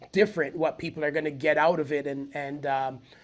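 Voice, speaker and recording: A man with a fairly high pitch talks at a fairly quick pace while music plays in the background. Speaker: spoken word poet and event founder. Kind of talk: podcast interview answer.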